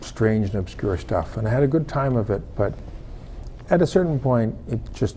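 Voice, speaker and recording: A man speaks with a dark, mellow tone, somewhat breathy, with ordinary pitch variation. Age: 60s. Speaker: former film lighting technician, non-profit founder. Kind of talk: interview. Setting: television studio. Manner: halting, with many repetitions.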